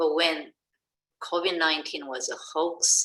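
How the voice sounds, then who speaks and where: A woman is speaking. Her pace is very slow. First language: not English. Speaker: education researcher. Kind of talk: webinar discussion. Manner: halting.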